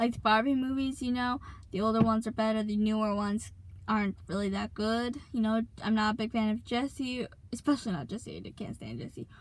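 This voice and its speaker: A somewhat breathy woman at a very fast pace, with fairly even intonation. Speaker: YouTuber. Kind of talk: casual chat. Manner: hesitant, many fillers.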